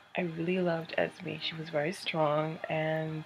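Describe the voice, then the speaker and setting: Someone whispers quietly at a fairly slow pace over noticeable background noise. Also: woman. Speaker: book reviewer. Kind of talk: casual video review. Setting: at home, company nearby. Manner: quiet, whispery.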